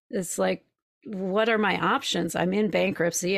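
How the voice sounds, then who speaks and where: With a plain, everyday voice, a woman speaks at a moderate pace with fairly low pitch and fairly even intonation on a very clean recording with a silent background. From Minnesota, Twin Cities. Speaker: spiritual coach. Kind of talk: interview storytelling.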